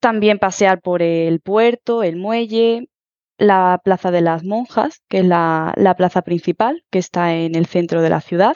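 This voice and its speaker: A woman speaks at a fairly slow pace, with a medium pitch and ordinary pitch variation. She has a plain, everyday voice. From Huelva, Andalusia, Spain. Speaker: Spanish teacher. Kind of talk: interview.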